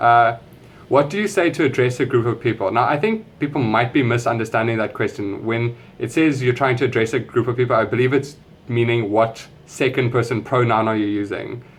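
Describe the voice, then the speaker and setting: A somewhat breathy voice at a fairly quick pace, with ordinary pitch variation. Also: man, medium pitch for a man. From South Africa. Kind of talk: casual talk to camera.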